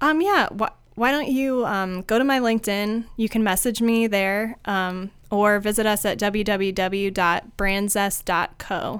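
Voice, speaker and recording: With a Midwestern American accent, the speaker keeps very even loudness, ordinary pitch variation and hardly any pauses on a very clean recording with a silent background. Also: woman, medium pitch for a woman. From US Midwest, rural Ohio (Findlay). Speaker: marketing agency founder. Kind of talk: podcast interview.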